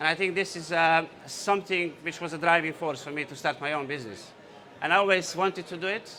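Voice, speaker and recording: A man with a Bosnian accent talks at a fairly quick pace in a fairly high voice with ordinary pitch variation, over noticeable background noise. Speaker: entrepreneur. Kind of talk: conference talk. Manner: hesitant, many fillers.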